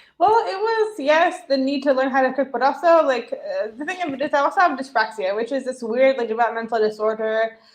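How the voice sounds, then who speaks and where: A high-pitched woman with an American accent speaks at a fairly quick pace with lively intonation and hardly any pauses. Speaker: chef and cookbook author. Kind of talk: interview. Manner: fast.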